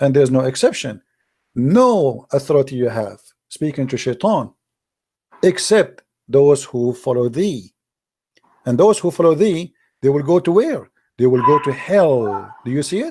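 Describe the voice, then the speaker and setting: A man with an Arabic accent speaks at a moderate pace, his pitch fairly high and his tone dark and mellow. His intonation is lively, broken by long, frequent pauses. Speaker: religious debater. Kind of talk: heated debate. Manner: animated.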